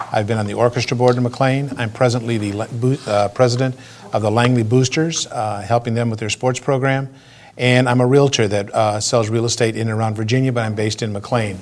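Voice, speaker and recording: Flat and monotone in intonation, a man speaks at medium pitch and a fairly quick pace. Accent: American. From Michigan (Flint). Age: 60s. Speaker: political candidate. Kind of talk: interview.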